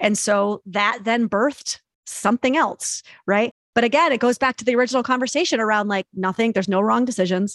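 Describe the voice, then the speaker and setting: With an American accent, a woman in an ordinary speaking voice talks at a fairly quick pace, her fairly high pitch showing ordinary variation. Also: dry, close sound with no echo. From New York. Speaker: psychotherapist. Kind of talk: casual chat.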